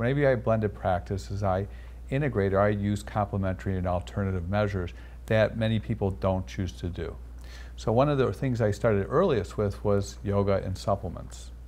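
Vocal fry and very wide pitch swings at a fairly quick pace. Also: man, fairly low pitch for a man. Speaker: cardiologist. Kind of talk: interview. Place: studio. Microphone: lapel.

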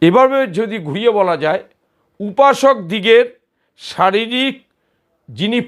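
On a very clean recording with a silent background, a man speaks in a high pitch with lively intonation. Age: old. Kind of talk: religious tutorial. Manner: partly reading from notes.

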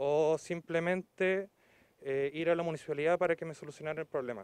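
The delivery is at a moderate pace with fairly even intonation. The sound is dry and close, with no echo. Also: man. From Chile, Aysén region (Coyhaique). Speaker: local resident making a complaint. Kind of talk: public complaint to TV news. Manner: halting, many fillers.

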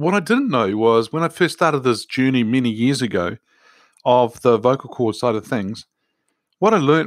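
A man's plain, everyday voice at a medium pitch, with lively intonation, on a very clean recording with a silent background. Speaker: podcast host. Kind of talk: podcast monologue.

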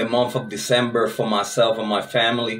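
The man's fairly slow delivery sits over light background noise. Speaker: true crime channel host. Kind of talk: casual vlog chat. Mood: relaxed, grateful, laughing. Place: home room.

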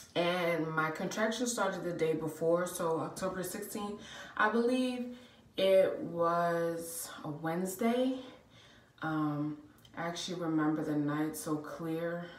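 Audible room echo surrounds a woman's fairly low voice. She speaks at a very slow pace. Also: ordinary pitch variation. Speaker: vlogger. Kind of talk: casual vlog storytelling. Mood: warm, chatty. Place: bathroom. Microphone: phone near.

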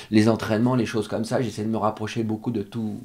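A man speaks at a fairly quick pace. His tone is dark and mellow, with fairly even intonation. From France. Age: 50s. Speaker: show jumping rider and coach; coach. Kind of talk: interview. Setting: stable. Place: home room. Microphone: studio mic.

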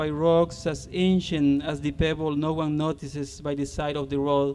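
A man with a Spanish accent at a moderate pace, over light background noise. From Honduras. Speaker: poet and university lecturer. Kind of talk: poem reading, solemn and measured, to concert audience. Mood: calm, reflective. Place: street.

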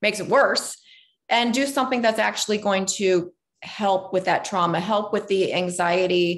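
Speaking with lively intonation, a woman keeps a moderate pace. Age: 40s. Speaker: life coach and podcast host. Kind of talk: casual interview. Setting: video call. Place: home room. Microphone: video call.

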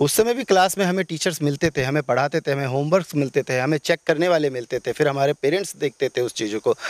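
This man has a normal speaking voice and lively intonation at a moderate pace. The recording is very clean, with a silent background and a dry, close sound with no echo. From Bihar, Madhubani region. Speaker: election candidate. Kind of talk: interview.

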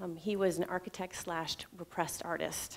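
The woman's intonation stays fairly even. She speaks at a fairly slow pace. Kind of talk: prepared personal talk. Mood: reflective, personal story. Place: stage. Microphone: headset.

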